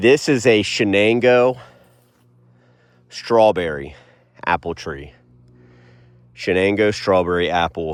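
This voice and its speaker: A man speaks very slowly in a relaxed tone with lively intonation, leaving long, frequent pauses. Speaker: homesteader and forager vlogger. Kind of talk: casual walk-and-talk vlog. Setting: outdoors, walking in the woods. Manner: relaxed, conversational with fillers.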